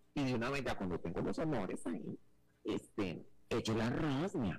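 Music plays behind a man speaking in an animated tone. His pitch sits in the middle range. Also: long, frequent pauses, very even loudness. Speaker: radio presenter. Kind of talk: casual chat. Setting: radio link.

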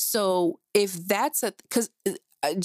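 A woman with an American accent speaks at a medium pitch in an animated tone with lively intonation. The very clean recording has a silent background and a dry, close sound with no echo. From New Jersey. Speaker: podcast host. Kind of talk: opinion monologue.

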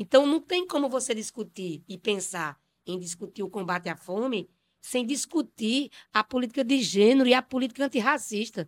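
An ordinary speaking voice moves at a moderate pace with lively intonation, in a very clean, dry, close recording with no echo and a silent background. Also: woman. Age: 50s. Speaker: city councillor and poet. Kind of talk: panel discussion interview.

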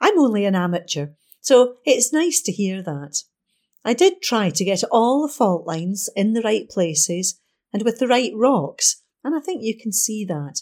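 A woman with a fairly high pitch speaks at a moderate pace with very wide pitch swings, on a very clean recording with a silent background. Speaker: volunteer newspaper reader. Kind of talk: reading aloud. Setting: studio.

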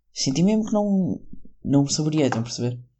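A man's fairly high, somewhat breathy voice with a European Portuguese accent, lively intonation and a fairly quick pace. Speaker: solo podcaster. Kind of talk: casual monologue. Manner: rambling, halting.

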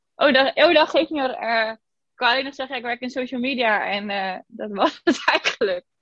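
A woman's high voice with lively intonation and big swings in loudness, at a moderate pace, dry and close with no echo against a quiet background. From Zeeland, Netherlands (Zeeuws-Vlaanderen). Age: 20s. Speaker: podcast guest sharing weight-loss story, social media worker. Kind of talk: casual interview.

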